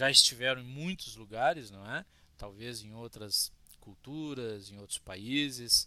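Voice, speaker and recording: A man's bright, sharp voice at medium pitch, with a fairly slow pace, ordinary pitch variation, and big swings in loudness. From Rio Grande do Sul, Brazil (Cruz Alta). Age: 40s. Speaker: religious teacher. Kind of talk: lecture. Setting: Facebook live stream.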